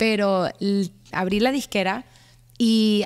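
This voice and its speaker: Against a quiet background, a woman with an unremarkable speaking voice speaks at a medium pitch with fairly even intonation. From US, Miami. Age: 20s. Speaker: singer-songwriter; guest. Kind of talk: interview. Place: studio. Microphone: studio mic.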